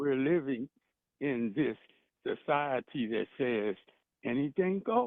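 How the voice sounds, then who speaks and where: A man speaks very slowly with an American accent and lively intonation. He leaves long, frequent pauses. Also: fairly high pitch for a man. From Washington DC, Southeast. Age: 70s. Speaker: caller. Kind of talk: call-in radio conversation. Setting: phone call.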